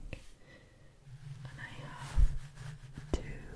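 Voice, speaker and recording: A woman is whispering. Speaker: ASMR creator. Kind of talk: ASMR hair brushing video. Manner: whispered, soft. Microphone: studio mic.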